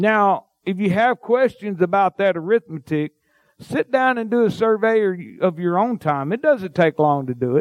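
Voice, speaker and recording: Lively intonation and a fairly slow pace carry a Mississippi accent, recorded with a dry, close sound and no echo. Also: man. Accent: Southern US (Mississippi). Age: 50s. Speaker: pastor. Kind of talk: sermon.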